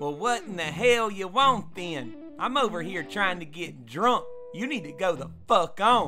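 A man puts on a gruff character voice, pitched high with very wide swings. He talks at a moderate pace over clear background music. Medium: cartoon. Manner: gruff, profane, bargaining, cocky.

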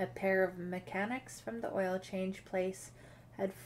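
An unforced reading voice carries the whole clip.

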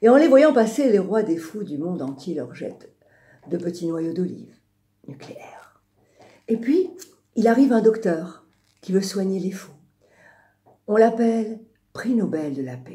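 Speaking fairly slowly with long, frequent pauses, a woman uses a somewhat breathy, dark, mellow voice at a medium pitch, with very wide pitch swings and big swings in loudness. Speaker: radio storyteller and singer. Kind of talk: storytelling on radio. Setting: radio studio.

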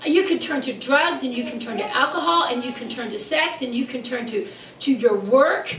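A high-pitched woman talks at a moderate pace with lively intonation. The room echo is audible, and there is light background noise. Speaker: preacher. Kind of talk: sermon. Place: church. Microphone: podium.

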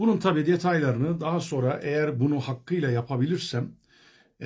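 At a moderate pace, a man speaks in a dark, mellow, somewhat breathy voice. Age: 40s. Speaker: vlogger sharing diet experience. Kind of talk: personal video diary. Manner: hesitant, many filler sounds.

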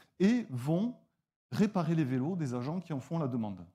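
Against a quiet background, a man speaks fairly slowly in a fairly high pitch, with a dark, mellow tone and very wide pitch swings. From southwestern France, near Toulouse; southwestern France. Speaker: nonprofit founder. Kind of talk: pitch presentation. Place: stage. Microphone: lapel.

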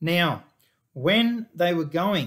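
There is a man speaking with ordinary pitch variation. The background is quiet. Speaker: pastor. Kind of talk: sermon. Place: office. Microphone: webcam.

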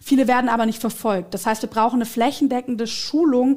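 Over a quiet background, a woman speaks at a fairly quick pace in a fairly high pitch with fairly even intonation. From Swabia, southern Germany. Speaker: politician. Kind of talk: political interview. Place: studio. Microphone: headset.

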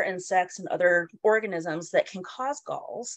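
A woman with an American accent, fairly slow pace, very wide pitch swings, dry sound with no echo and a quiet background. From Colorado. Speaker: entomologist and university instructor. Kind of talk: lecture. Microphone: webcam.

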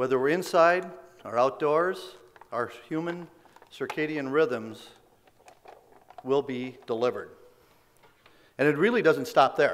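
A man talks at a slow pace with long, frequent pauses. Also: medium pitch for a man, ordinary pitch variation.

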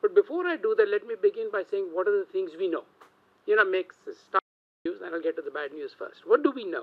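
A man talks very fast at an extremely high pitch, with very wide pitch swings and big swings in loudness. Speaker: political science professor. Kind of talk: panel talk. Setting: stage with audience. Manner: casual, joking. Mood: wry, joking. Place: meeting room. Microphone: podium.

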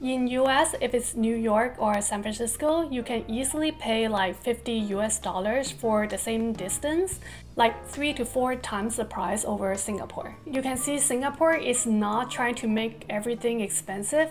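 A woman at a moderate pace with hardly any pauses and ordinary pitch variation, faint music in the background. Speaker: vlogger. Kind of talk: casual vlog chat. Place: home room.

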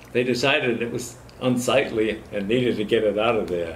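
A man with an American accent speaks in a somewhat breathy voice with ordinary pitch variation. Light background noise sits behind him. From Massachusetts (Fall River); Massachusetts. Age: 90s. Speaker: war veteran. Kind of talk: oral history interview. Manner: halting. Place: hall.

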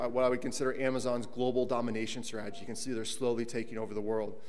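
A man at a very fast pace, monotone with flat intonation. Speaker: conference speaker, tech co-founder. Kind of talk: conference panel presentation. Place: hall.

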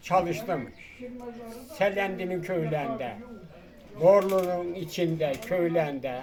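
A man with a high voice speaks very slowly, leaving long, frequent pauses, with ordinary pitch variation. Audible room echo and noticeable background noise fill the recording. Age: 90s. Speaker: retired carpenter and villager. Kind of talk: interview. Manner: short replies.

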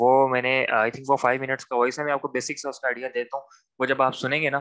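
Against a quiet background, a man speaks in a monotone, flat way with a bright, sharp tone. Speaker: trainer. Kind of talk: lecture. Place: home room. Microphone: video call.

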